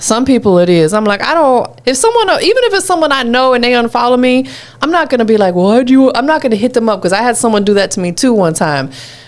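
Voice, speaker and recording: Amid noticeable background noise, a woman talks very fast with hardly any pauses, a high pitch, very wide pitch swings and very even loudness. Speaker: radio host. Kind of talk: radio interview hosting. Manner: upbeat, energetic.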